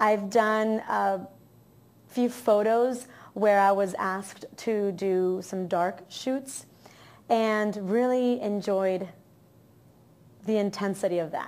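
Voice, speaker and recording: A woman with an American accent speaks very slowly at a medium pitch. Her intonation is fairly even, broken by long, frequent pauses. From Miami, Florida. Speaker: actress and model. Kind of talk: interview. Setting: on camera.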